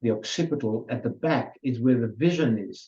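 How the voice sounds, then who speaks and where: A man with a dark, mellow tone talks at a fairly slow pace. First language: Hungarian. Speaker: adult education presenter. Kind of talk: lecture. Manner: halting.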